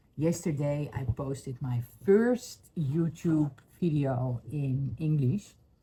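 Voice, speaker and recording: A woman's somewhat breathy, very deep, low voice with a dark, mellow tone, ordinary pitch variation and a Dutch accent. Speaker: spiritual healing vlogger. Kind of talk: personal testimony vlog. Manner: halting, many fillers.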